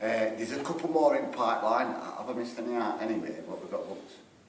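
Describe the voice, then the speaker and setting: Audible room echo and noticeable background noise surround a man speaking with a Sheffield accent. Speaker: rockabilly band singer. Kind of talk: band interview.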